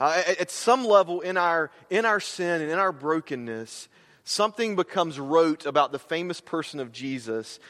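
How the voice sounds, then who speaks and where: A man with an American accent talks at a moderate pace and a fairly high pitch. His intonation is lively, and the background is quiet. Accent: slight Southern US, comes out at times. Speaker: campus minister, guest preacher. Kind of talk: sermon. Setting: church. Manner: halting, many repetitions and fillers.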